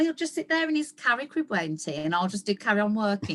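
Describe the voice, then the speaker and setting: Her pitch swings very widely. The woman speaks with a West Midlands accent. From West Midlands, England. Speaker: cheerleading event organiser. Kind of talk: podcast interview. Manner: animated.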